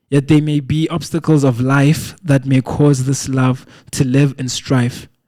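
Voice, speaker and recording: The speaker talks at a fairly slow pace with a dark, mellow tone, fairly even intonation and a Lesotho accent. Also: man. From South Africa. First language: Sesotho. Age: 20s. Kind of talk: poetry reading.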